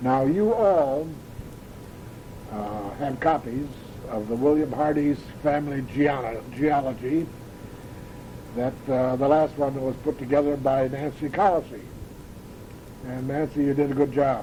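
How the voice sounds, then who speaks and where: A speaker with an Upper Midwest accent leaves long, frequent pauses and shows ordinary pitch variation. Noticeable background noise runs throughout. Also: man, fairly high pitch for a man. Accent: Upper Midwest American. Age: 80s+. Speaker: family elder recording memories. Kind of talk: oral history recording. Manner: halting, frequent uhs.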